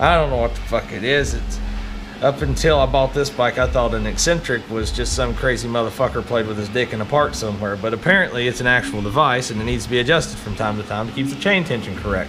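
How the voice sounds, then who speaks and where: A man's medium-pitched voice with an East Tennessee accent, very fast and with lively intonation, amid noticeable background noise and audible room echo. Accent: US South (East Tennessee). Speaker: motorcycle DIY vlogger. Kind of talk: casual tutorial. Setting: home garage.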